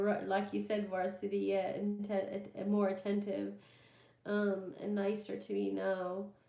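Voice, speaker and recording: Music plays in the background. A woman speaks over it at a fairly slow pace. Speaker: tarot reader. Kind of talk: live stream Q&A reading. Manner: hesitant, many fillers.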